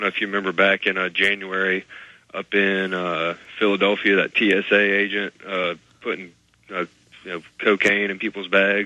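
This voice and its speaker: A man with an American accent talks at a fairly low pitch and a moderate pace. His intonation is monotone and flat, with big swings in loudness. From Alabama, US South. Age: 20s. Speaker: caller. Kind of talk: call-in talk radio.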